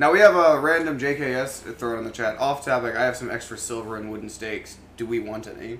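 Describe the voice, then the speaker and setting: Over noticeable background noise, a man of medium pitch speaks at a fairly quick pace, with ordinary pitch variation and big swings in loudness. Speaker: podcast host. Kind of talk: casual live comedy chat, profane. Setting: live online show.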